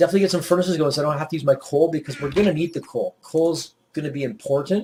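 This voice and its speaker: Speaking at a very fast pace, a man with a fairly high pitch and a dark, mellow tone keeps his intonation fairly even. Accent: Maritime Canadian. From Nova Scotia, Canada (Yarmouth). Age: 40s. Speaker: gaming YouTuber. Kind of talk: gameplay commentary. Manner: casual, rambling.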